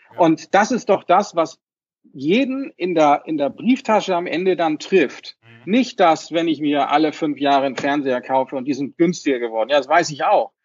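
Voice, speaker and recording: A man with a fairly high pitch speaks at a moderate pace, his intonation lively and his loudness swinging widely. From Hamburg, northern Germany. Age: 40s. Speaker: financial advisor, association chairman. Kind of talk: interview. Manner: hesitant, many fillers.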